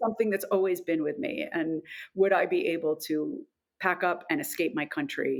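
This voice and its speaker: On a very clean recording with a silent background, a woman with an American accent speaks at a moderate pace. Her pitch sits at medium, with very wide swings. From New York. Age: 50s. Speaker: actor and public speaking coach. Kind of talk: casual chat.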